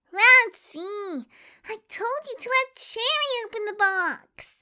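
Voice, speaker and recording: This is a put-on character voice with a squeaky sound. It moves at a fairly slow pace. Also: female-sounding voice, extremely high pitch for a woman. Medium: audio drama. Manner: bubbly, excitable, playful.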